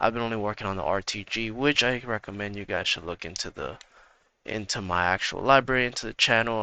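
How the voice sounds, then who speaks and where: Dry and close with no echo over a quiet background, a man's fairly low, bright and sharp voice moves at a fairly quick pace with ordinary pitch variation. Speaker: gaming YouTuber. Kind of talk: tutorial. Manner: casual, with fillers.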